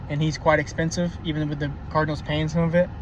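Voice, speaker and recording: Noticeable background noise sits behind a man speaking at a fairly quick pace. His fairly high voice stays monotone and flat. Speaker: baseball commentator. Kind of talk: casual monologue. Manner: halting, many fillers.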